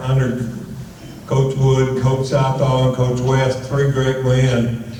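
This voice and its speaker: Noticeable background noise and audible room echo around a man's medium-pitched voice at a very slow pace. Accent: Texan. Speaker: retired football coach. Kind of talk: acceptance speech anecdote. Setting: banquet stage with audience.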